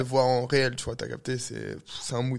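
A normal speaking voice moves at a moderate pace. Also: man. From Algeria (heritage), raised in Paris. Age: 20s. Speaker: DJ and photographer. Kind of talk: casual interview.

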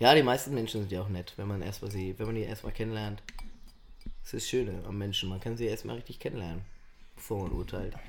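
A man talks at a very fast pace with a fairly low pitch and fairly even intonation. Long, frequent pauses break up his speech, and room echo is audible. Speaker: podcast co-host. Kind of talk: casual chat.

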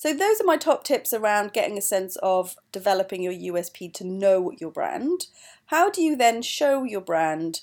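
Captured in a very clean recording with a silent background, a woman with a Welsh accent speaks at a medium pitch with very wide pitch swings and big swings in loudness. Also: moderate pace. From Wales, mining valley. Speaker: podcast host, company co-founder. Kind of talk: solo podcast advice talk.

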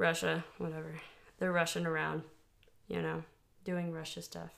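At a moderate pace, a woman speaks in an American accent. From Texas. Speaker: podcast co-host. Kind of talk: casual chat; reading aloud research notes.

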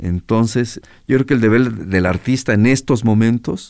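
A man at medium pitch, with ordinary pitch variation and a fairly slow pace. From Mexico, Guadalajara. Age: 60s. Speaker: musician. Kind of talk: interview. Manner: halting, many repetitions.

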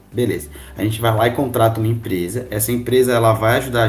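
Somewhat breathy, a man speaks at a fairly low pitch with audible room echo. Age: 20s. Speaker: university student, sports association marketing captain. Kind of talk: casual podcast interview.

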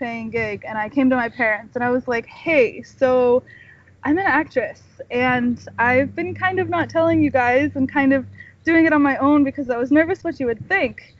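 Someone with an American accent talks at a moderate pace with ordinary pitch variation. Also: woman. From California. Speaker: actress and writer. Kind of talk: casual interview. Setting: outdoors, remote call via laptop then phone.

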